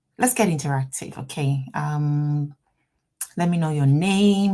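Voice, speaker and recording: With a Ghanaian accent, a woman talks at a fairly slow pace with lively intonation. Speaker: immigration lawyer hosting a livestream. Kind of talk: live stream Q&A. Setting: office, livestream.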